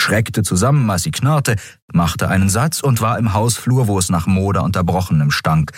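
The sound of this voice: The clip has an unforced reading voice with lively intonation.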